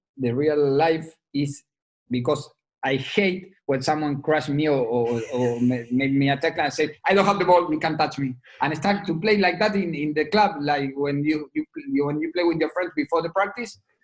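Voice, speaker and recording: A man speaks with an Argentine accent at a fairly high pitch. His pace is moderate and his pitch varies in an ordinary way. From Argentina. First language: Spanish. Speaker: rugby sevens head coach. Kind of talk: podcast interview answer.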